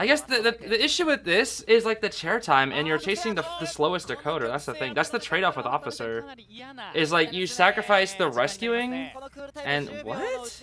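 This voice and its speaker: In a raised, projected voice, a man speaks at a high pitch and a moderate pace with an animated tone and very wide pitch swings. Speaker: streamer commentating esports tournament. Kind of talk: live commentary. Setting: livestream.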